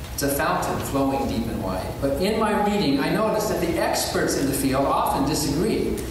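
A man talks with ordinary pitch variation. Strong room echo and noticeable background noise fill the recording. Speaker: atheist activist and author. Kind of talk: formal debate. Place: hall.

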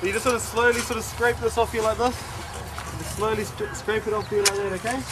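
At a fairly quick pace, a man speaks over noticeable background noise. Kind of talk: tutorial. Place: open country. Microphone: camera far.

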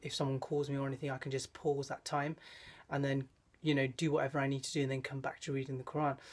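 The man's voice comes across as somewhat breathy. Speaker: vlogger. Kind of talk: casual vlog chat. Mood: reflective, advice-giving. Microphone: phone near.

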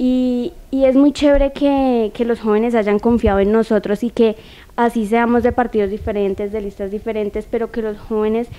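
Using an unremarkable speaking voice, a woman talks at a moderate pace with a fairly high pitch and fairly even intonation. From Colombia. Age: young. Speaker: youth council member. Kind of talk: TV interview. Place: studio. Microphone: handheld.

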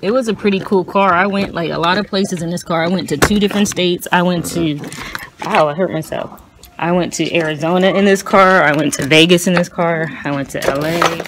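A woman speaks at a fairly quick pace in a fairly low pitch, her intonation fairly even. Noticeable background noise runs underneath. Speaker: vlogger. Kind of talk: casual vlog chat. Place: car. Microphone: phone near.

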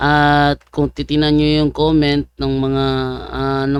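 Recorded very cleanly against a silent background, a man with a fairly high pitch speaks at a fairly slow pace. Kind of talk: commentary vlog. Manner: animated.

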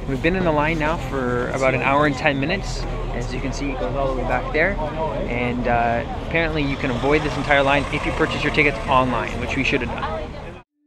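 Loud noise fills the background while a man talks at a fairly quick pace. The sound itself is dry, with no echo. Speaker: travel vlogger. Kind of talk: casual vlog chat. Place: street. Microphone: phone near.

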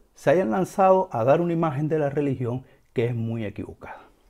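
Over a quiet background, a man with a fairly high pitch, a dark, mellow tone and a somewhat breathy voice makes very wide pitch swings. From Cuba. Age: 40s. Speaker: religious teacher and video host; religious teacher, video host. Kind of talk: educational monologue. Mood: earnest, emphatic. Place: home room. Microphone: lapel.

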